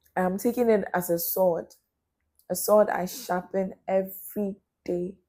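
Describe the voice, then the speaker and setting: The voice has a dark, mellow tone and fairly even intonation, moving at a fairly slow pace. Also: woman, medium pitch for a woman. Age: young. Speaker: talk show host. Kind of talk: motivational monologue.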